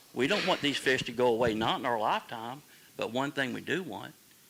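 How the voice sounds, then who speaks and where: A man speaks at a medium pitch with a Southern US accent. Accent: Southern US (Georgia). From coastal Georgia, US South. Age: 60s. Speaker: recreational fisherman at public meeting. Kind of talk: public comment at town hall. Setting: town hall meeting.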